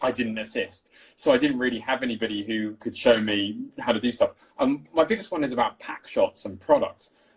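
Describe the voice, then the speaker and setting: A man's plain, everyday voice at medium pitch, fairly quick in pace, with ordinary pitch variation. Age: 30s. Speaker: cinematographer. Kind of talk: casual chat.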